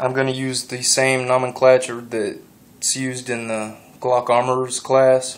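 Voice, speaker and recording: In a monotone, flat intonation, a man talks at a fairly slow pace with a medium pitch. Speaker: gun enthusiast youtuber. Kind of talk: tutorial. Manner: halting, pauses a lot.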